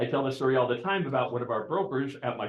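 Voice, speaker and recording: This man speaks at a very fast pace with a medium pitch. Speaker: real estate broker leading team meeting. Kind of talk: training talk at team meeting. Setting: office meeting room with Zoom participants. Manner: loud.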